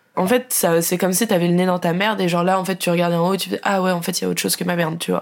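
Speech runs at a very fast pace with hardly any pauses. Loudness stays very even throughout. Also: woman, fairly low pitch for a woman. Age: 20s. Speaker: communications graduate and traveller. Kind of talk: casual chat. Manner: animated.

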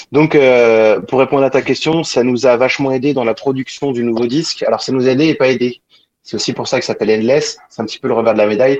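At a very fast pace, a man of medium pitch speaks with fairly even intonation. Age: 40s. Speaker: singer-guitarist. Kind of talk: interview.

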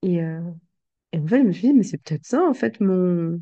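A woman with a fairly low voice and a dark, mellow tone talks at a very slow pace with lively intonation. The background is quiet and the sound is dry and close, with no echo. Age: 20s. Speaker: life coach and podcaster. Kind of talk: intimate personal monologue. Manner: hesitant, many fillers and repetitions.

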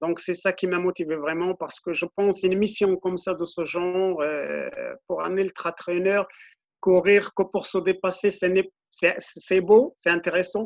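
The man's voice is high-pitched and flat, in a monotone. He speaks at a fairly slow pace in a dry, close sound with no echo. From Morocco, Middle Atlas. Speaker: ultra-runner. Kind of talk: interview.

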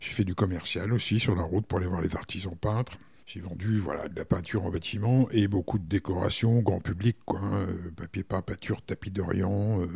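A man speaks in a somewhat breathy, fairly low voice at a moderate pace with fairly even intonation. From France, Berry (Indre). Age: 50s. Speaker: hotel director. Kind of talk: casual interview. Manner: hesitant, many fillers.

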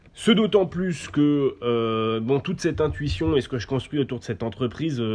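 At a moderate pace, a man speaks in an ordinary speaking voice with medium pitch and lively intonation. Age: 20s. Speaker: company founder. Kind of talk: interview.

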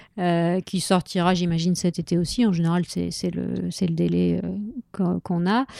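A woman at a fairly slow pace, dry and close with no echo. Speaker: comics translator. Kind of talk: casual interview.

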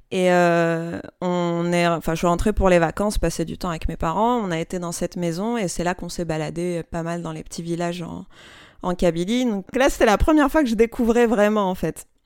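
On a very clean recording with a silent background, a woman speaks in an unremarkable speaking voice. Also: fairly low pitch for a woman, ordinary pitch variation, moderate pace. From Algeria (Algiers). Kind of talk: interview. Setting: home workshop.

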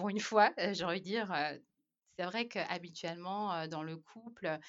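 This woman has a normal speaking voice, talking at a fairly slow pace with ordinary pitch variation. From Madagascar. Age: 30s. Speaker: expatriate mother. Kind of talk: casual chat.

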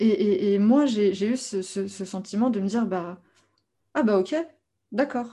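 Over a quiet background, a woman with a dark, mellow tone speaks at a very slow pace, taking long, frequent pauses, with ordinary pitch variation. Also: medium pitch for a woman. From France. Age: 30s. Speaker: life coach. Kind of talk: interview.

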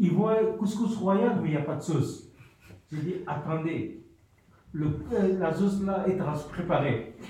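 In a room with audible echo and noticeable background noise, a man speaks at a high pitch with ordinary variation, pausing long and often. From Mali. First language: a Malian language (speaking French). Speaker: cook, homeless person. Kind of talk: radio testimony. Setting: community radio studio.

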